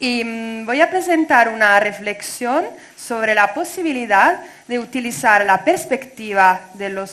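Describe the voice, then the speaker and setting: At a fairly slow pace, a woman speaks at a fairly high pitch with lively intonation. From Italy. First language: Italian (speaking Spanish). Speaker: doctoral researcher. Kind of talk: academic talk read aloud. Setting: conference. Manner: halting.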